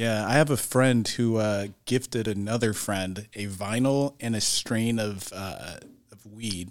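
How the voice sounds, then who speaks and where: Speaking in a plain, everyday voice, a man talks fairly slowly at a fairly low pitch with fairly even intonation and big swings in loudness, on a very clean recording with a silent background. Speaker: business owner. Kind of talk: casual chat.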